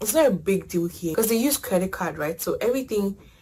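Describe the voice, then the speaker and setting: Speaking very fast with lively intonation, a woman at a medium pitch sounds somewhat breathy. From Ghana. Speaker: international student. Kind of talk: casual chat.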